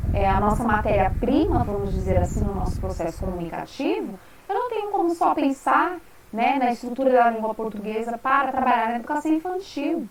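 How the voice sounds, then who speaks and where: A high-pitched woman talks at a fairly quick pace with very wide pitch swings. Noticeable background noise is present. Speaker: university lecturer. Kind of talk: online lecture. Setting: live web class.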